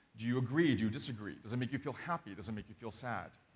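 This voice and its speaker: A man speaks loudly. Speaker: designer giving a conference talk. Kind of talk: conference talk. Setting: stage with audience. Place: stage. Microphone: lapel.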